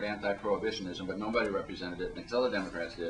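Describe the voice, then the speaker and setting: With noticeable background noise behind him, a man speaks at a very fast pace. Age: 50s. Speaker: panelist, drug policy reform activist. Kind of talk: panel discussion talk.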